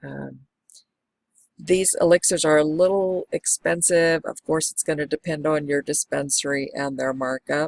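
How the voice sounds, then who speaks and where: In a dry, close sound with no echo, a woman with a very deep, low pitch talks at a fairly slow pace with fairly even intonation. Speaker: medical marijuana patient vlogger. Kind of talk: product review vlog. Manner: casual with fillers.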